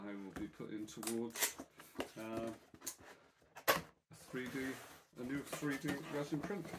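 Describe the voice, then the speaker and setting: Loud background noise surrounds the voice. A man speaks at a fairly slow pace. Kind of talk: casual vlog chat. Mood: pleased, warm. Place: home room. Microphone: phone near.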